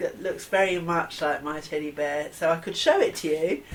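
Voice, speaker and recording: Over noticeable background noise, a woman with a southern English accent talks at a moderate pace. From southern England, near Battle, East Sussex. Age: 50s. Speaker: interviewee sharing childhood memories. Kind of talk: oral history interview.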